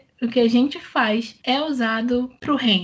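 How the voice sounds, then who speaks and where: A woman's high voice, very slow, with ordinary pitch variation. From Rio de Janeiro, Brazil. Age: 20s. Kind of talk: casual chat.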